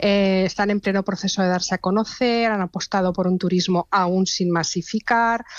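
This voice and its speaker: Delivery runs at a moderate pace with hardly any pauses, in a monotone, flat intonation and very even loudness. The sound is dry and close with no echo, over a quiet background. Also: woman, medium pitch for a woman. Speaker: travel recommendations contributor. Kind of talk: radio interview.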